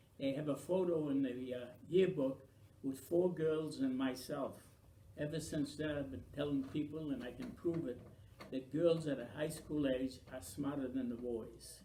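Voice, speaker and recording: A man's fairly high, somewhat breathy voice with a dark, mellow tone, ordinary pitch variation and a moderate pace, with audible room echo. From Maine, US (Franco-American). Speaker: oral history interviewee. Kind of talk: oral history interview.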